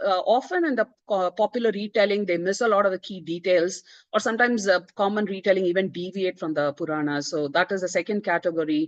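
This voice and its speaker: A woman with a Tamil accent talks very fast with lively intonation, and the sound is dry and close with no echo. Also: hardly any pauses. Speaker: author. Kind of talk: book presentation talk. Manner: hesitant, many fillers.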